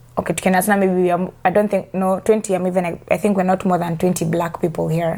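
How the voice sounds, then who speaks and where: Dark and mellow in tone, the voice carries a slight Kenyan accent and runs at a very fast pace with monotone, flat intonation and hardly any pauses. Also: woman, medium pitch for a woman. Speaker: immigrant interviewee, customer service worker. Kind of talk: casual chat.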